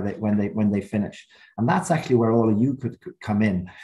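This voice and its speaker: A man talks in a dark, mellow tone that is somewhat breathy, with ordinary pitch variation and a quiet background. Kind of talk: webinar opening remarks. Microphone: video call.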